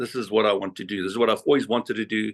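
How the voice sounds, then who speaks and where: Recorded in a dry, close sound with no echo, a man talks at a very fast pace. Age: 50s. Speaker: whale photographer and guide. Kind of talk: interview answer on video call.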